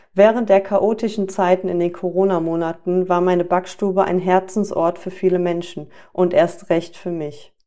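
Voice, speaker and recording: A woman's dark, mellow tone at medium pitch, monotone and flat, at a moderate pace with hardly any pauses. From Germany, Düsseldorf area. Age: 30s. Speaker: life coach and podcast host. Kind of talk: scripted monologue.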